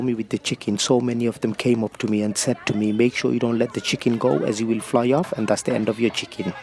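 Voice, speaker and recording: A man rattles through his words at a very fast pace, his intonation fairly even, as noticeable background noise carries on. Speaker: travel vlogger. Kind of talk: vlog narration.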